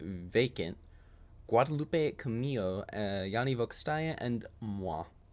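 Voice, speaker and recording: We hear a man. He talks at a medium pitch. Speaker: video game streamer. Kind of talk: live gameplay streaming. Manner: quiet, soft-spoken; halting.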